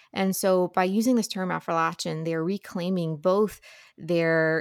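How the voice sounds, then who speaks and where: A woman with an American accent has an ordinary speaking voice, a fairly low pitch and fairly even intonation, at a moderate pace. The recording is very clean, dry and close, with no echo and a silent background. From Ohio River Valley, Ohio side. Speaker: book podcaster and editor. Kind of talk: interview conversation.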